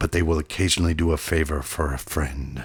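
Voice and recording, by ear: Put on as a character voice, this man's speech is husky with a rough edge and extremely low in pitch. His intonation stays fairly even. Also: fairly quick pace.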